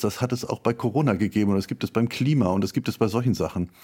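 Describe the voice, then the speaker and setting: Talking at a very fast pace, a man uses ordinary pitch variation and a dark, mellow tone. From northern Germany (Schleswig-Holstein). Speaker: literature professor. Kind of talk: interview. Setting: remote call. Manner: frequent fillers (äh, ähm).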